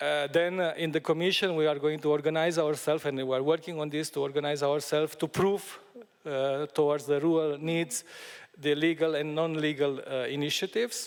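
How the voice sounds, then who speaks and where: With a Romanian accent, a man talks at a fairly quick pace in a fairly high pitch and a monotone, flat intonation. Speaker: EU Commission official. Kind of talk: panel discussion. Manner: halting, many fillers.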